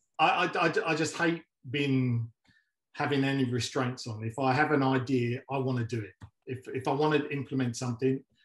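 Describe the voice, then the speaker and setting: A man talks at a fairly quick pace in a medium pitch, his voice somewhat breathy and his intonation fairly even. The background is quiet, though there is audible room echo. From London. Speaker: mixed martial arts coach and entrepreneur. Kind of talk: casual interview. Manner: halting, many filler words. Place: home room. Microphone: video call.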